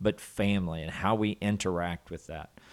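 A man with a Southern US accent, fairly even intonation, and a fairly slow pace on a very clean recording with a silent background. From US South, southwest Arkansas. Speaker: college student dean. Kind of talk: casual interview.

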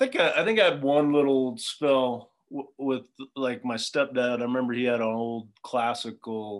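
A man with an American accent and an ordinary speaking voice, medium in pitch, fairly even in intonation, at a fairly slow pace. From Southern California. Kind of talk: casual chat.

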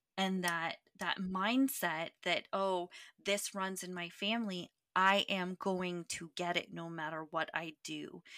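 A woman speaks very slowly at a medium pitch, her intonation fairly even and her tone bright and sharp. The recording is very clean with a silent background, and the sound is dry and close with no echo. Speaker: podcast host and nutritionist. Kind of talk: podcast interview, host intro and questions.

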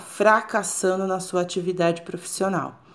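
A woman with a Brazilian accent speaks at a medium pitch and a moderate pace. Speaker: business psychologist. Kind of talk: solo podcast monologue. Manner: halting, repeats words.

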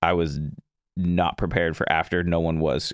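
A man with an American accent speaks in a very deep, low pitch. His pace is moderate, and the recording is very clean with a silent background. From Florida. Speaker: podcast host. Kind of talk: casual interview chat. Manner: laid-back, chatty, laughs often.

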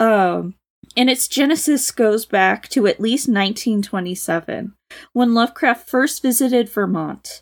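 In a very clean recording with a silent background, a woman with an ordinary speaking voice talks at a fairly slow pace, fairly high in pitch with ordinary pitch variation. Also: very even loudness. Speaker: co-reader guest. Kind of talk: casual chat, reading and discussing a story.

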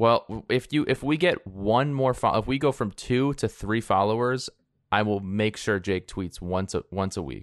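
At a fairly slow pace, a man talks at medium pitch with ordinary pitch variation. It is a plain, everyday voice with a dry, close sound and no echo. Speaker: fantasy football podcast co-host. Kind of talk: casual chat. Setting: remote recording, hosts in different places.

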